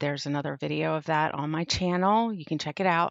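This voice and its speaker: A woman with a fairly low pitch speaks with ordinary pitch variation. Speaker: crafting YouTuber. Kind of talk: casual craft vlog chat. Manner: talking quietly.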